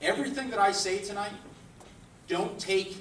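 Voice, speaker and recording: A man speaks at a high pitch. Noticeable background noise and audible room echo surround his voice. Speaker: recruiter and career speaker. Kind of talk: presentation to a live audience. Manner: talkative, long-winded.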